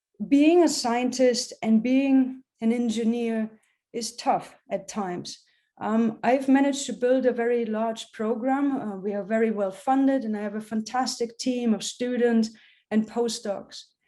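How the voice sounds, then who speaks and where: With a German accent, a woman speaks at a fairly slow pace against a quiet background. Her fairly high voice has a dark, mellow tone and fairly even intonation. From Germany. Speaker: professor. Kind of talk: public science talk. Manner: many fillers (um, uh).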